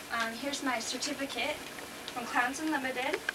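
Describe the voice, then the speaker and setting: A woman with an American accent speaks at a fairly quick pace in a raised, projected voice. Audible room echo and noticeable background noise surround her. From Seattle, Washington, US Pacific Northwest. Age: 20s. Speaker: clown and superfan. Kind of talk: casual self-recorded video submission. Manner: halting, many fillers.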